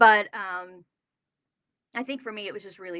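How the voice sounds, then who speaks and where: Delivered at a fairly quick pace, the voice has an animated, bright, sharp tone, with dry, close sound and no echo. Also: woman. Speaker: Broadway actress and content creator. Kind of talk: interview.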